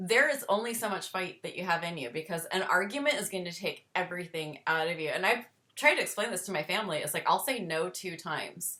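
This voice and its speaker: With lively intonation and hardly any pauses, a woman talks at a very fast pace in a medium pitch. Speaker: chronic illness podcast host. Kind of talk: interview. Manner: halting.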